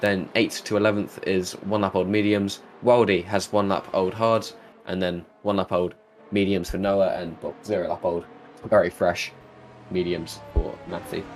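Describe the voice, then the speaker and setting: Music plays in the background as a man talks with fairly even intonation. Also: fairly low pitch for a man, moderate pace. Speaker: sim racing commentator. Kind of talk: live commentary.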